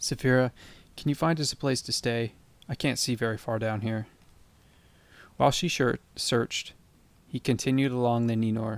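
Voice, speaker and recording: Soft-spoken, a man talks at a medium pitch and moderate pace with fairly even intonation and long, frequent pauses, in a very clean recording with a silent background. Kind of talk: bedtime audiobook reading. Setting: rain and thunderstorm ambience in background. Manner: soft-spoken, calm, relaxing.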